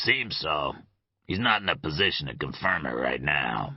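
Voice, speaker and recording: A put-on character voice, rumbling and raspy, with lively intonation at a moderate pace. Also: man, very deep, low pitch for a man. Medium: read story. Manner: dry, sardonic.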